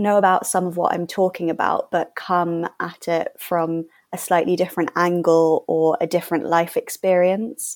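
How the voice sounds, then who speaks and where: A woman in a London accent, medium in pitch, at a moderate pace with fairly even intonation. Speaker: charity worker and fashion content creator. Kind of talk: panel podcast interview.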